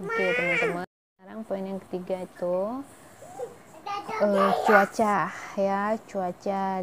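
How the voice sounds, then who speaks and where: Medium pitch marks the voice. The speaker is a woman. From Indonesia, Medan (Malay ethnicity). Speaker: vlogger. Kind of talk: casual vlog talk to viewers.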